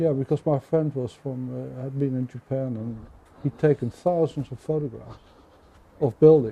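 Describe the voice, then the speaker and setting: With a Dutch accent, a man speaks at a moderate pace and medium pitch, somewhat breathy, his intonation fairly even. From Netherlands, Rotterdam. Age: 70s. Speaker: crime novelist. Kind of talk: interview conversation. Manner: halting, with frequent repetitions and fillers.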